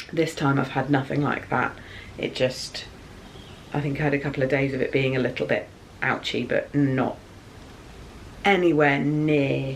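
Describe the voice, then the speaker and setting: Pitched very deep and low, a woman speaks at a moderate pace in a monotone, flat intonation with very even loudness. She takes long, frequent pauses, and audible room echo surrounds her voice. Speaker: YouTuber, mother. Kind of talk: casual vlog. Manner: soft-spoken.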